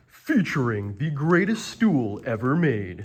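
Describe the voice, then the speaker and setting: Putting on a character voice, a man speaks at a fairly slow pace. His medium pitch moves in very wide swings. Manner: grand, announcer-like.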